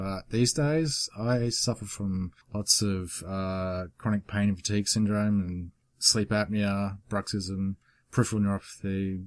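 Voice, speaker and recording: A man with an Australian accent at a fairly slow pace, with fairly even intonation, in a very clean recording with a silent background. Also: fairly low pitch for a man. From Australia, Queensland. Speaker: YouTuber. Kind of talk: casual Q and A vlog. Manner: casual, hesitant with fillers.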